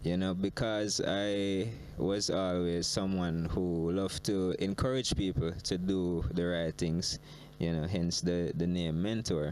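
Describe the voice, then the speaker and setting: A man with a Jamaican accent speaks in a very deep, low pitch at a fairly slow pace. His intonation is fairly even and his loudness very even. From Jamaica, Trelawny. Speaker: reggae artist. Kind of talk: interview. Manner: halting, many fillers.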